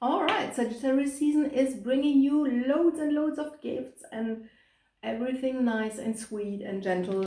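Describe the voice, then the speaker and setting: A woman with a German accent speaks at a fairly high pitch, with a dark, mellow tone and lively intonation, in a room with audible echo. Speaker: tarot reader. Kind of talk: tarot reading to camera. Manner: hesitant, many fillers.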